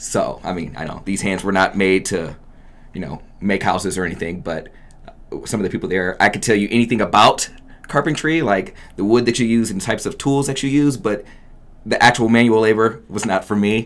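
A man talks at a fairly quick pace with lively intonation. His pitch is fairly low. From US Midwest (Oberlin, Ohio). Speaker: radio phone screener. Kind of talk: interview. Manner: upbeat, positive.

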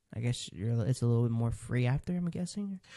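Against a quiet background, a man with a dark, mellow tone talks at a fairly quick pace with lively intonation. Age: 20s. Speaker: podcast host. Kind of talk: casual chat.

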